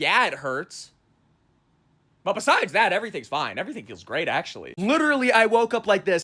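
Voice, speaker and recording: In a raised, projected voice, a man with a high pitch and a bright, sharp tone speaks at a fairly quick pace. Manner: casual, rambling.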